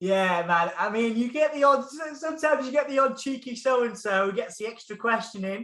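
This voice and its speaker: Talking at a fairly quick pace, a man uses a raised, projected voice with a bright, sharp tone. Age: 30s. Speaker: music journalist and interviewer. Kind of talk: casual chat. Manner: animated.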